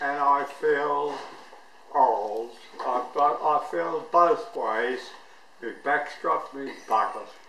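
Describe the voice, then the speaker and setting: Over light background noise and audible room echo, a man talks at a very slow pace with lively intonation and long, frequent pauses. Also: fairly high pitch for a man. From Australia. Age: 80s+. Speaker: birthday celebrant. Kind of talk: birthday speech to family. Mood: wry, affectionate. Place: kitchen. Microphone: camera far.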